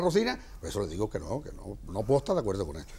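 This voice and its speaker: Pitched at a medium level, a man's voice swings very widely and carries vocal fry. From Almonte, Andalusia, Spain. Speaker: brotherhood president. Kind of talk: heated debate.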